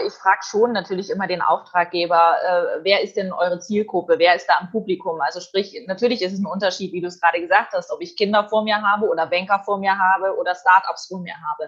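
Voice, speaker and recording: Here is a woman with a normal speaking voice at a medium pitch. She talks at a fairly quick pace. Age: young. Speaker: event host and journalist. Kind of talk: interview. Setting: video call.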